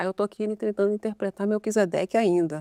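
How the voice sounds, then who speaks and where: A woman speaks fairly quickly in a fairly high pitch, with ordinary pitch variation. The recording is very clean, with a silent background and a dry, close sound with no echo. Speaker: sign language interpreter. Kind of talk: casual chat. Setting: studio. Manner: fast.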